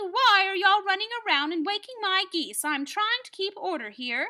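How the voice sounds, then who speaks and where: Putting on a character voice, a woman speaks at a moderate pace in an extremely high pitch. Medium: read story.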